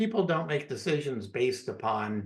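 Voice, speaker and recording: Somewhat breathy and fairly high in pitch, a man speaks at a moderate pace with very wide pitch swings. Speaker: marketing consultant. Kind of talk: webinar presentation. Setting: live webinar. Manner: animated.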